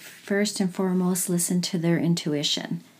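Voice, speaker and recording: A woman with a Canadian accent and a normal speaking voice, medium in pitch, at a fairly slow pace, in a very clean recording with a silent background. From Alberta, Canada (Edmonton). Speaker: energy healer and mother. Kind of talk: casual chat.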